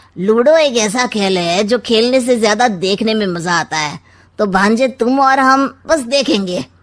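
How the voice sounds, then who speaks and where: A woman puts on a cartoonish character voice. It sits fairly high and moves at a moderate pace. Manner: sly, teasing, scheming.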